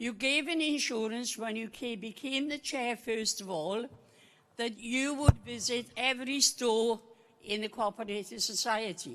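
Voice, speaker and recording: Speaking at a fairly slow pace, a woman with a Welsh accent has a fairly high pitch and ordinary pitch variation. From Wales, Rhondda Valley. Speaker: co-op member asking a question at a meeting. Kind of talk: public question at an annual meeting.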